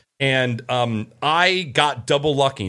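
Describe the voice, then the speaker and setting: On a very clean recording with a silent background, a man talks at medium pitch with lively intonation in an ordinary speaking voice. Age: 30s. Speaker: podcast host. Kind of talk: casual chat.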